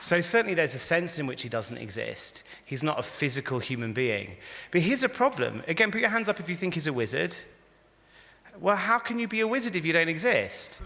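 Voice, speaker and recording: A man's high voice with an English accent, fairly quick delivery and very wide pitch swings. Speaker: rabbi and philosopher giving a talk. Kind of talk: lecture. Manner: conversational, interactive.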